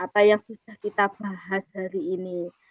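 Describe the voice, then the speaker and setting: This woman's delivery is fairly slow. The recording is dry and close, free of any echo. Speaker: teacher acting as coach in a coaching practice session. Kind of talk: coaching conversation and self-reflection. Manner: hesitant, many filler sounds; polite, formal.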